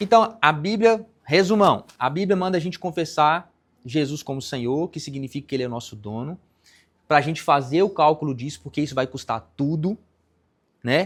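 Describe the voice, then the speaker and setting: The recording is very clean with a silent background, and the speech keeps a moderate pace with ordinary pitch variation. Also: man. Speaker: pastor. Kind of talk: sermon.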